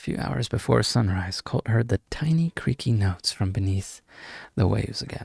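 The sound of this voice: With lively intonation, the text is read in an unforced reading voice.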